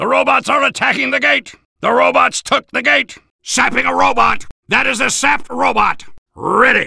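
A man does a put-on character voice at an extremely high pitch, with a bright, sharp tone and big pitch swings. Vocal fry and a slightly husky edge come through at a fairly slow pace.

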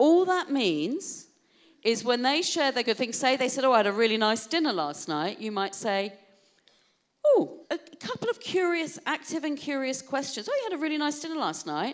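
A woman with a British accent speaks at a moderate pace in a high pitch. Her pitch swings very widely, and the background is quiet. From UK. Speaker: keynote speaker on wellbeing; keynote speaker. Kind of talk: keynote talk to an audience. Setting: stage with audience. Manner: animated. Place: hall. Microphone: handheld.

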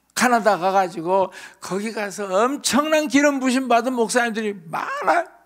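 Against a quiet background, a man with an extremely high voice speaks at a moderate pace in an animated tone with lively intonation. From South Korea. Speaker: pastor. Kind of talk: sermon. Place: hall. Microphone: handheld.

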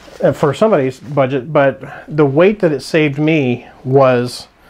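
The man speaks at a fairly slow pace. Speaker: budget hiker reviewing gear. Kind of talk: casual product review. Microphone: phone near.

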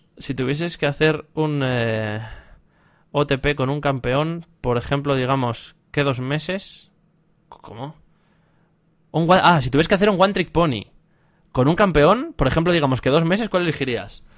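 A man speaks with a fairly high pitch. He goes at a fairly slow pace with long, frequent pauses. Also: ordinary pitch variation, quiet background. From Spain. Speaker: esports streamer and caster; esports streamer. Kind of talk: live stream Q&A. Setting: live stream with voice chat. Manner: casual, hesitant with fillers. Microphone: headset.

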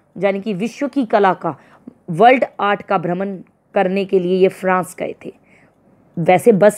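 A woman speaks at a medium pitch. It is a plain, everyday voice. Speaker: Hindi teacher. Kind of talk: lecture. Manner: informal, conversational.

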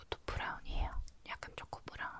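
A woman is whispering. Her pace is moderate. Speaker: makeup roleplay host. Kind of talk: soft-spoken roleplay. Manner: soft close-mic ASMR talking. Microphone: handheld.

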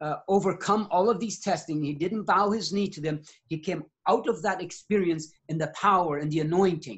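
Against a quiet background, a man with a high pitch talks at a moderate pace, with ordinary pitch variation and hardly any pauses. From Mexico. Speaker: missionary preacher. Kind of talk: sermon. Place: home room. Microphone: video call.

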